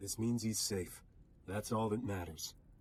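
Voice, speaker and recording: A man uses a put-on character voice, raspy and fairly low in pitch. His intonation stays fairly even at a moderate pace. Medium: video game. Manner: urgent, defiant.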